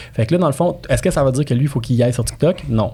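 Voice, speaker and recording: On a very clean recording with a silent background, a man speaks in a dark, mellow tone, somewhat breathy, with lively intonation. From immigrant to Quebec. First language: not French (speaking French). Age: 30s. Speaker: real estate broker and marketing specialist. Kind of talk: podcast interview, casual chat. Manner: animated, repetitive fillers.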